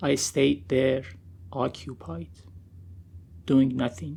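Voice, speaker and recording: With vocal fry in his medium-pitched voice, a man speaks at a very slow pace. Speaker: poet. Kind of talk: poetry reading.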